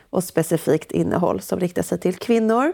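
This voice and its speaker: Her voice sits fairly low, and this woman's pitch moves with ordinary variation. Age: 30s. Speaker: entrepreneur and author. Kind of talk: casual interview. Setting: remote call.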